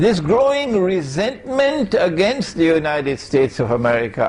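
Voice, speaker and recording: Male voice with very wide pitch swings at a moderate pace, plus audible room echo. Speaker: Islamic scholar. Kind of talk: lecture.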